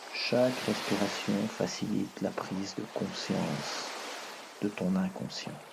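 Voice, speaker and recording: A man speaks very slowly in a soothing tone, his pitch fairly low and his intonation fairly even. Noticeable background noise runs under his voice. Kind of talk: hypnosis relaxation guide. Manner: soft, slow, soothing.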